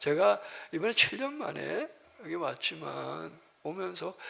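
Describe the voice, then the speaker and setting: A man speaks at a very slow pace. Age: 60s. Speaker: missionary pastor. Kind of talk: sermon. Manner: halting, with fillers and restarts.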